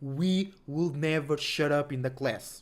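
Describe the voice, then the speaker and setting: A man is speaking. He has a non-native accent. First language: not English. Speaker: astrology livestreamer. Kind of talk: casual livestream talk. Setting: livestream, home. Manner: animated, repetitive.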